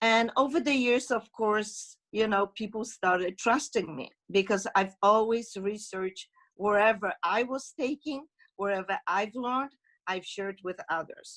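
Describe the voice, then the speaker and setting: A woman with an ordinary speaking voice, fairly high in pitch, ordinary pitch variation, a fairly slow pace, a very clean recording and a silent background. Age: 60s. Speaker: esthetician giving testimonial. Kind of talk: testimony.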